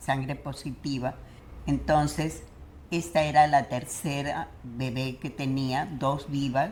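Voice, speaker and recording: Her pitch very deep and low, a woman speaks at a very slow pace with vocal fry and fairly even intonation. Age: 90s. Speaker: retired educator. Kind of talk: interview answer.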